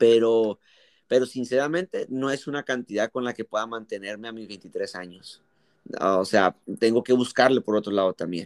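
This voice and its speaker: This man has a normal speaking voice at medium pitch, with ordinary pitch variation, a moderate pace and big swings in loudness. The recording is very clean with a silent background and a dry, close sound with no echo. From Mexico. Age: 20s. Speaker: youth pastor. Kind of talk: casual interview.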